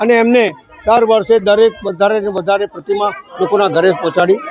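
Crowd noise plays in the background as a man speaks with fairly even intonation. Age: old. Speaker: local politician. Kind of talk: public speech.

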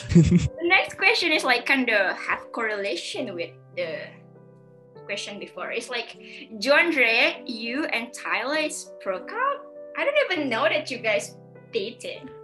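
Clear music plays in the background. A woman with a non-native accent talks at a fairly slow pace. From Indonesia. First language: not English. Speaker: video host interviewing a guest. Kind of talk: casual, non-native grammar. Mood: cheerful, laughing. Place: home room.

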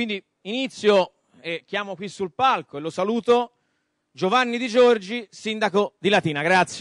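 Over a quiet background, a man with a high pitch talks at a fairly slow pace, showing ordinary pitch variation and big swings in loudness in a dry sound with no echo. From Florence, Tuscany, Italy; Tuscany, Italy. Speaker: debate moderator. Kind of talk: moderated panel debate. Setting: stage with audience. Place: stage. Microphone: handheld.

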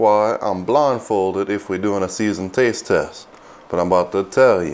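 In an American accent, a man speaks with a fairly low pitch and ordinary pitch variation. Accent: Cajun. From Louisiana, USA. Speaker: cook and show host. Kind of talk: comedic cooking show talk to camera. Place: kitchen.

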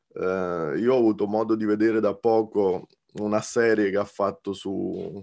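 Against a quiet background, a man with a fairly low pitch talks at a very slow pace with fairly even intonation. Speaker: guest. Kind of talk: film analysis discussion. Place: home room. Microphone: video call.

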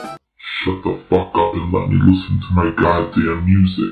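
A man puts on a character voice, very deep and low in pitch. He keeps a moderate pace while faint music plays behind him. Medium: dub. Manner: angry, shouting.

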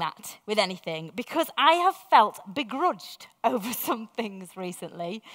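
Against a quiet background, the voice moves at a fairly slow pace. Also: woman. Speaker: preacher. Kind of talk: sermon. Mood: warm, reflective. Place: church.

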